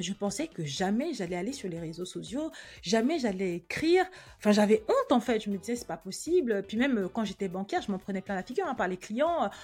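The pitch swings very widely in this somewhat breathy voice. It moves at a fairly quick pace. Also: woman, fairly high pitch for a woman. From Cameroon, then France from age 8. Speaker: podcast host, personal finance coach. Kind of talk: personal monologue, introspective. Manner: casual, many hesitations.

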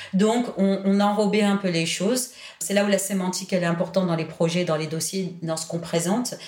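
This woman has a medium pitch and talks at a fairly quick pace with fairly even intonation. Audible room echo and noticeable background noise surround her voice. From southern France, Toulon. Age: 40s. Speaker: education policy director. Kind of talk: interview.

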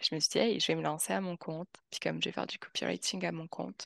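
Recorded with a dry, close sound and no echo, a woman speaks with vocal fry over a quiet background. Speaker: expat, continuous improvement specialist. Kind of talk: interview.

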